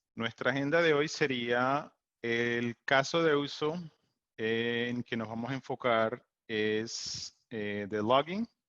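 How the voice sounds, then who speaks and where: An English accent at a very slow pace, with a dry, close sound, no echo, and a quiet background. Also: man, medium pitch for a man, ordinary pitch variation. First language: English (speaking Spanish). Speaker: technical support engineer, presenter. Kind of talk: webinar presentation. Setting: Zoom webinar. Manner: halting, many fillers.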